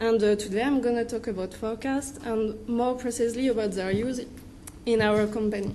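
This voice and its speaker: Fairly high in pitch, a woman with a French accent talks at a fairly quick pace in a monotone, flat intonation, with audible room echo around her. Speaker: wind energy researcher. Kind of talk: conference presentation. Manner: halting.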